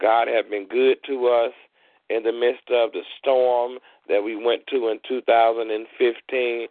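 Speaking very slowly in an American accent, a man holds a medium pitch with monotone, flat intonation. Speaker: radio host and preacher. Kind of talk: fervent prayer. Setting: live internet and phone-in broadcast. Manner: earnest, pleading, reverent; rhythmic, repetitive, with halting pauses.

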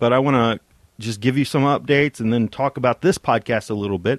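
Over a quiet background, a man with a normal speaking voice talks at a fairly quick pace with ordinary pitch variation in a dry, close sound with no echo. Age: 40s. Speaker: podcast host. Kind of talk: solo podcast monologue.

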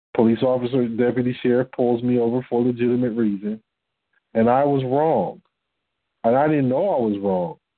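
In an American accent, a man with an unremarkable speaking voice talks at a fairly quick pace and medium pitch, with ordinary pitch variation and very even loudness. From Detroit, Michigan. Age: 40s. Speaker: religious teacher on a call-in fellowship line. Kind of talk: teaching talk on a conference call.

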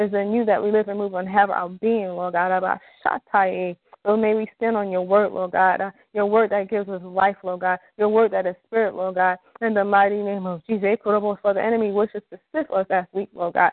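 A woman's flat, monotone delivery at a moderate pace. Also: medium pitch for a woman. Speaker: prayer call participant. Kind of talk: fervent prayer. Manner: fervent, emphatic.

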